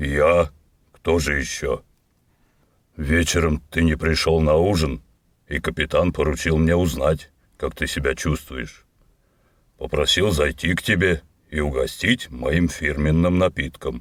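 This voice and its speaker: Over a very clean recording with a silent background, a man does a put-on character voice with a very deep, low pitch, fairly even intonation, a moderate pace, and long, frequent pauses. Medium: read story. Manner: plain-spoken, easygoing.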